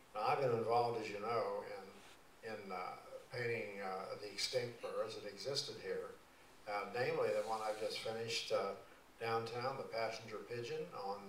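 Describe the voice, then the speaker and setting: Light background noise, audible room echo, and a moderate pace. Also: man. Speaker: guest. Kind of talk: talk to a civic association. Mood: warm, humorous storytelling. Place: church.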